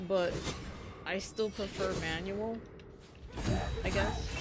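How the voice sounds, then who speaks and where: Soft-spoken and very slow, a woman talks with music in the background and audible room echo. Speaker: gaming streamer. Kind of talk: casual gameplay commentary. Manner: quiet, not loud.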